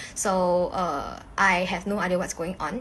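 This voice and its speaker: A woman's voice over noticeable background noise. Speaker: social media influencer. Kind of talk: casual vlog talk. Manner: casual, filler-heavy.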